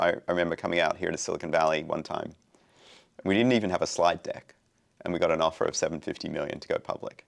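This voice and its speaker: This man's pitch sits very deep and low. He keeps his intonation fairly even. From Australia. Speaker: fintech founder and CEO. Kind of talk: podcast interview. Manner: casual, conversational.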